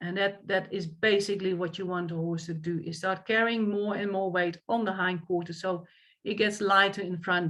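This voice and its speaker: Speaking with a Dutch accent, a woman keeps a medium pitch and a moderate pace in a monotone, flat intonation. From Netherlands. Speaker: equestrian coach. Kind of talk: lecture.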